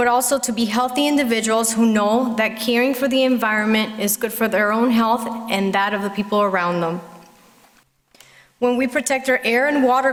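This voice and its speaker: A woman with a Spanish accent speaks fairly quickly at a fairly high pitch. Her intonation stays fairly even over noticeable background noise. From Puerto Rico. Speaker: parent speaking at public comment, physician. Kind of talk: prepared public comment speech. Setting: school board meeting at podium.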